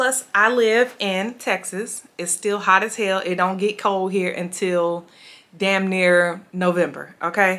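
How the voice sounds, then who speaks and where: Bright and sharp in tone, a woman speaks at a very slow pace. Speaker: beauty and fashion vlogger; fashion haul vlogger. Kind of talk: casual haul video monologue. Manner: animated. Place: home room.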